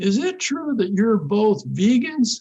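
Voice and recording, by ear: A put-on character voice with a Southern accent, fairly high in pitch, with very wide pitch swings and a fairly slow pace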